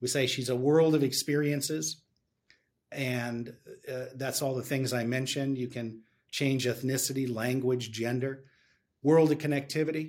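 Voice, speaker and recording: Here a man has an ordinary speaking voice at a medium pitch. He keeps a moderate pace and fairly even intonation. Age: 50s. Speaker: tech company executive. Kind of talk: interview.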